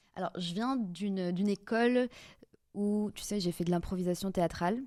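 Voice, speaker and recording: A woman's medium-pitched voice, dark and mellow in tone, fairly even in intonation and moderate in pace, on a very clean recording with a silent background. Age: 30s. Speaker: public speaking coach. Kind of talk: podcast interview.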